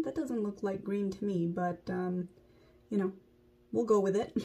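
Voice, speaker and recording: A woman's somewhat breathy voice at a medium pitch. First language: not English. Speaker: beauty vlogger. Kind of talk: makeup tutorial. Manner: casual, conversational.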